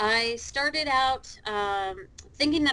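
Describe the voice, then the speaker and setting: Bright and sharp in tone, a woman with an American accent speaks with ordinary pitch variation. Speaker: dental practice management consultant. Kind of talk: casual podcast interview.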